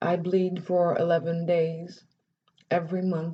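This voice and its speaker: The speaker is somewhat breathy, with a dark, mellow tone, fairly even intonation and a very slow pace. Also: woman. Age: 30s. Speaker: vlogger. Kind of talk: personal vlog testimony. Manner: halting.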